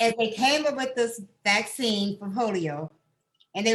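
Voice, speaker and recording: A woman's fairly high, somewhat breathy voice moves with lively intonation. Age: 90s. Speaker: host's mother, guest. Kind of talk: casual chat.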